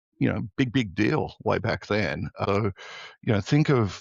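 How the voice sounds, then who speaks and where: A man talks with an Australian accent at a fairly low pitch. His voice has vocal fry. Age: 60s. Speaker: tech entrepreneur. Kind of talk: podcast interview.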